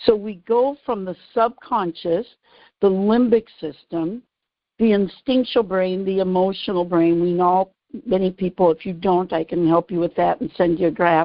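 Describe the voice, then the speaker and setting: A woman with a normal speaking voice keeps to a medium pitch, her pitch varying in an ordinary way. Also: moderate pace. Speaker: radio show host, author and behavioral neuroscience strategist. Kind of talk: radio show explanation of her book.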